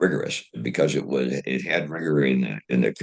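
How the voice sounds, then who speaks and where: A man's very deep, low voice with vocal fry and an American accent. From US Midwest, Dayton Ohio. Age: 80s+. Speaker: retired engineer and inventor. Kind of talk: interview. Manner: halting, many fillers and repetitions.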